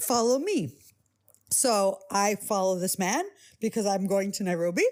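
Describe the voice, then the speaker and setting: A woman with a New York accent talks at a fairly slow pace with lively intonation, in a very clean recording with a silent background. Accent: New York American. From US, New York. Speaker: podcast host. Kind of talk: casual chat.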